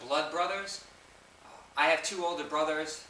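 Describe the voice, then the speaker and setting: The voice carries audible room echo. There is noticeable background noise as well. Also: man. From New York. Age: 20s. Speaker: fitness vlogger. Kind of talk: Q&A video. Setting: home basement. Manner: casual.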